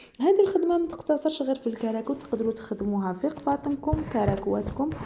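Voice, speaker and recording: With noticeable background noise, a woman speaks at a fairly quick pace and with lively intonation. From Algeria. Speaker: sewing and embroidery youtuber. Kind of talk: casual chat.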